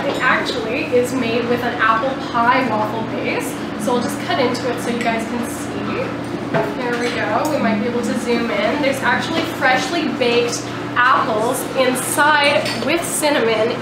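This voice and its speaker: Amid loud background noise and audible room echo, a woman talks at a moderate pace. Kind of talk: interview answer. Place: cafe.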